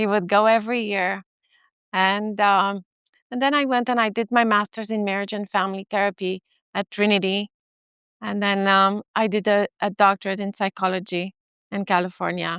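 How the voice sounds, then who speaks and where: A woman with a Romanian accent speaks at a moderate pace and medium pitch with monotone, flat intonation, in a dry, close sound with no echo. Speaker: family therapist and professor. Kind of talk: conference talk. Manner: hesitant, many fillers.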